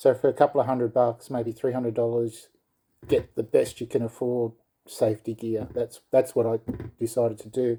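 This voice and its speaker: This man speaks with an Australian accent. His tone is dark and mellow, his intonation monotone and flat. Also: medium pitch for a man, moderate pace. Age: 60s. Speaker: skateboarder reviewing gear. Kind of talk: casual product review. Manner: hesitant, many fillers.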